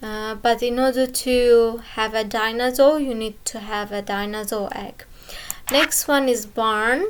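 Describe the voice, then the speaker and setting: Carrying a non-native accent, a woman talks at a fairly slow pace, her fairly high pitch kept in fairly even intonation. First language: not English. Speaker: gaming youtuber. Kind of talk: game tutorial walkthrough. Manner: halting, many fillers.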